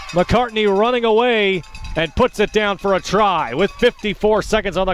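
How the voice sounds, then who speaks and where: Through noticeable background noise, a man with a high voice speaks at a moderate pace. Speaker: sports play-by-play broadcaster. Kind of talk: rugby play-by-play highlights.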